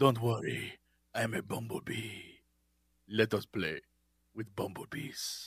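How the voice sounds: Using a put-on character voice with a Russian accent, a man at a medium pitch speaks at a fairly slow pace with long, frequent pauses.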